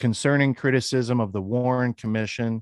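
A man with a normal speaking voice and an American accent, moderate in pace with ordinary pitch variation, in a dry, close sound with no echo on a very clean recording with a silent background. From Western Pennsylvania. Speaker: podcaster and researcher. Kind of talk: interview.

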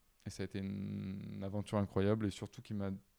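Low for a man, his voice has a dark, mellow tone. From southern France (Avignon). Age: 30s. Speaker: video editor and director. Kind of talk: casual interview chat.

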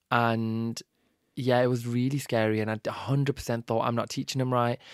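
In a very clean recording with a silent background, a man talks in a flat monotone with a British accent. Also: dry, close sound with no echo. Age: 30s. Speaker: social media content creator, former teacher. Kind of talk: casual interview chat. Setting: studio.

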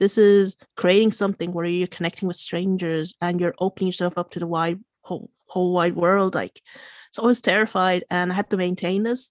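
Speaking with a Limerick accent, a woman talks at a fairly quick pace and medium pitch in a monotone, flat intonation. The recording is very clean with a silent background and a dry, close sound with no echo. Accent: Irish (Limerick). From Ireland, Limerick (Irish-born Chinese). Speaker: coder and tech events organizer. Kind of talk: interview conversation. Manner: hesitant, many fillers.

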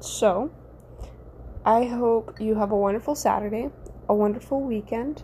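Speaking at a moderate pace with long, frequent pauses, a woman uses a fairly high pitch and fairly even intonation. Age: 20s. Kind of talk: casual devotional talk. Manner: casual, frequent fillers and laughs.

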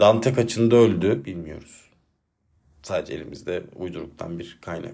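This man has a very deep, low voice with a dark, mellow tone. He talks at a moderate pace with ordinary pitch variation. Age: 30s. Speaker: solo podcaster and teacher. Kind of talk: personal monologue. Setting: alone at home at a desk. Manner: reflective, calmer than usual.

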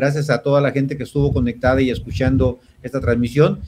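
Somewhat breathy male voice, its intonation fairly even. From Mexico, Jalisco (Mascota area). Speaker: entrepreneur. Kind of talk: interview.

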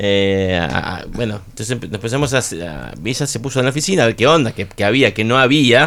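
With lively intonation and vocal fry, a man of medium pitch talks at a fairly quick pace with hardly any pauses. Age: 50s. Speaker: rock musician. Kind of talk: radio interview. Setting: radio studio.

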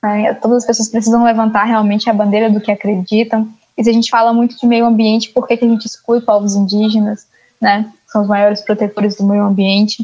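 Her fairly high voice stays monotone and flat, with very even loudness, as the woman talks at a fairly quick pace. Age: young. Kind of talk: interview.

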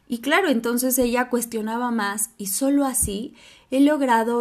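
Speaking with a Mexican accent, a woman uses a fairly high pitch with ordinary pitch variation. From Mexico. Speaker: podcast host. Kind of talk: solo podcast monologue.

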